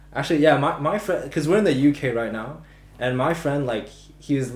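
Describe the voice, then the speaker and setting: Amid audible room echo, a man with an American accent speaks in a somewhat breathy voice at a fairly high pitch with lively intonation. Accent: very American. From Macau. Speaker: podcast co-host. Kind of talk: casual chat. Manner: halting, many false starts.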